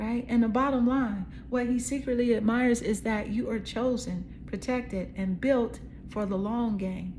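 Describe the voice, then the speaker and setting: In a room with audible echo, a woman speaks at a moderate pace in a fairly high, somewhat breathy voice with fairly even intonation. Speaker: tarot card reader. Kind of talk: psychic tarot reading. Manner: casual, conversational.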